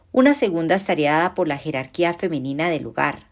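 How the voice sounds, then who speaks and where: A woman has an unremarkable speaking voice, fairly low in pitch with ordinary pitch variation. The recording is very clean, with a silent background. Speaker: law professor. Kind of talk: academic talk. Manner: formal.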